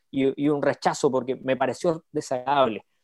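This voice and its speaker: The voice has a dark, mellow tone and a moderate pace. The sound is dry and close with no echo, over a quiet background. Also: man. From Chile. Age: 30s. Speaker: youth ministry speaker. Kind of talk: interview.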